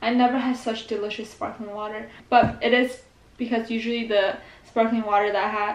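A woman at a moderate pace, monotone and flat in intonation, with audible room echo. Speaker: vlogger. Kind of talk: casual vlog chat, food review. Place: home room. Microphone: phone near.

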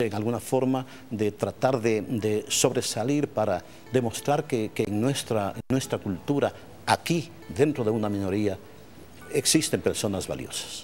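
With faint music in the background, a man talks at a fairly slow pace with ordinary pitch variation. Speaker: baseball play-by-play announcer. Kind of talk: interview answer. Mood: reflective, emotional at times. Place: stadium. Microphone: lapel.

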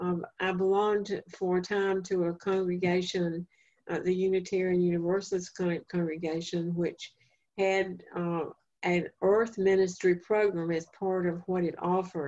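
In a North Carolina accent, a woman speaks at a fairly slow pace with a dark, mellow tone and flat, monotone intonation. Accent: Southern US (North Carolina). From eastern North Carolina, Duplin County. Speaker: family therapist and speaker; presenter. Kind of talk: lecture; lecture / talk answer. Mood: calm, reflective. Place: home room. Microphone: video call.

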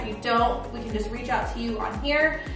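With clear music in the background and audible room echo, a woman speaks at a fairly quick pace. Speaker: home renovation vlogger. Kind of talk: casual vlog chat. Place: kitchen.

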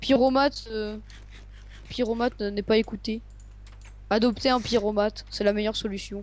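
Delivered at a moderate pace, the speech has long, frequent pauses. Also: woman. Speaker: gamer. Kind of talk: casual chat.

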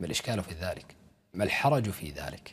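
This man has a fairly low pitch and a somewhat breathy voice, speaking at a moderate pace. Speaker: religious commentator. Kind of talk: polemical commentary. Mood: scornful, argumentative. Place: studio.

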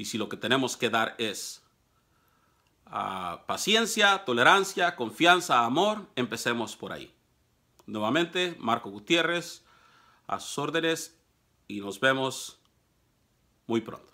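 A man with a Mexican accent speaks very slowly in a bright, sharp tone, with long, frequent pauses, big swings in loudness and very wide pitch swings against a quiet background. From Mexico. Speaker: political commentator. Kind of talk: monologue to camera; casual vlog commentary in Spanish. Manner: hesitant, many fillers. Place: office. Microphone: phone near.

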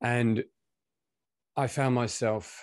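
A man with a British accent, fairly even intonation, and a quiet background. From UK. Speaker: coach and session convener. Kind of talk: personal storytelling. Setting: video call. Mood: calm, reflective. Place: home room. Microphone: video call.

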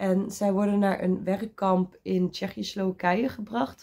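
Recorded very cleanly against a silent background, a woman speaks very slowly at a medium pitch. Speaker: book vlogger. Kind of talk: casual vlog.

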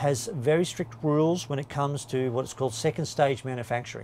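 A man talks at a moderate pace. Music plays in the background. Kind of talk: interview answer. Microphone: lapel.

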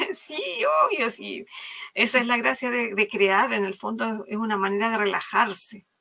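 With vocal fry and a bright, sharp tone, a woman speaks fairly slowly at a fairly high pitch, using ordinary pitch variation. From Chile. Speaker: live craft stream host. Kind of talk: live craft demo chat. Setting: video call livestream.

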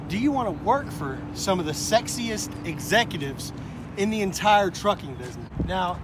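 The sound is dry, without any echo, and noticeable background noise comes through. A man talks at a moderate speed. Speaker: truck driver vlogger. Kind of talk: casual vlog chat. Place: street. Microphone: phone near.

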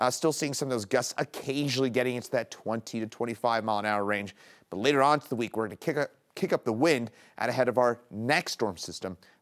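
Fairly quick pace, ordinary pitch variation, and a quiet background. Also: man. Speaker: meteorologist. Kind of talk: weather forecast. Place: studio.

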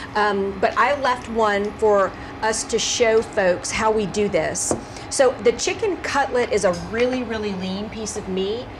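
A woman at a fairly slow pace amid noticeable background noise. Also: ordinary pitch variation. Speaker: cooking show host. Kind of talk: cooking show conversation. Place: kitchen.

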